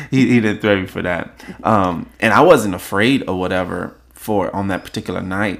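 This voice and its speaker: A man with an unremarkable speaking voice talks at a moderate pace and a fairly low pitch. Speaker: podcast host. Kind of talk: casual chat podcast.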